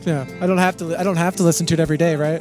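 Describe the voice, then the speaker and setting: A man with a high voice talks over music playing in the background. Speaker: musician. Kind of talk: interview answer. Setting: outdoors. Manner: soft-spoken.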